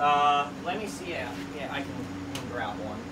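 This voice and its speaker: A man talks at a moderate pace with noticeable background noise behind him. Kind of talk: casual tour commentary. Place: home room. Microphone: camera far.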